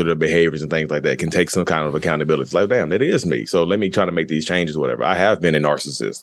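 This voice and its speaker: The background is quiet. A man speaks with vocal fry and ordinary pitch variation. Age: 30s. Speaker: guest sharing experience of narcissistic personality disorder. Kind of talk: casual interview.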